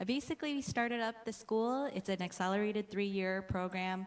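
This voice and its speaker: A woman speaks with an American accent at a moderate pace, her pitch medium. She has a plain, everyday voice. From US, Hmong American community. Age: young. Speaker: pharmacy professor. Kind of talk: conference presentation. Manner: frequent fillers, uh and um.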